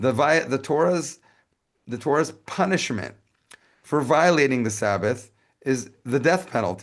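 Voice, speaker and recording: With lively intonation, a man speaks at a fairly high pitch. His speech is broken by long, frequent pauses. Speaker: lecturer on Judaism. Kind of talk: lecture. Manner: fast.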